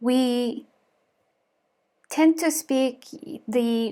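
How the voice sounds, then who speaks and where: The speaker has a Mongolian accent. Pitch variation is ordinary. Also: woman. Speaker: lifestyle vlogger. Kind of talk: vlog monologue. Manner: halting.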